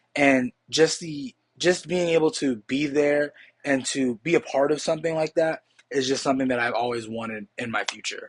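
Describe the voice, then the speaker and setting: This man's voice sits fairly high and moves at a moderate pace with ordinary pitch variation. The sound is dry and close, with no echo. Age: 20s. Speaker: college student. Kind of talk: class speech (impromptu mock job interview). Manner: halting, with fillers and restarts.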